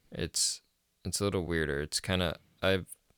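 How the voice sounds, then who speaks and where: Speaking at a fairly quick pace with fairly even intonation, a man with a very deep, low pitch comes through a dry, close sound with no echo on a very clean recording with a silent background. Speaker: podcast host and metal vocalist. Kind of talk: casual chat.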